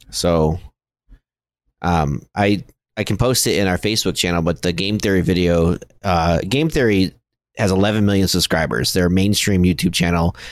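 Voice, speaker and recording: On a very clean recording with a silent background, a man with a very deep, low pitch talks at a moderate pace, his loudness very even and his pitch varying in an ordinary way. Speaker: gaming podcast co-host. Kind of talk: casual chat.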